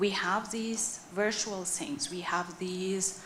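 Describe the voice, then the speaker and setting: A woman with a non-native accent at a fairly slow pace, plus audible room echo and noticeable background noise. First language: not English. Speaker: audience member at a conference. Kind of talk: conference Q&A answer. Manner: deliberate, clear; hesitant.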